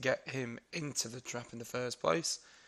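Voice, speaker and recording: Medium pitch for a man with a British accent and ordinary pitch variation. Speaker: gaming youtuber. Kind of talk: casual gameplay commentary.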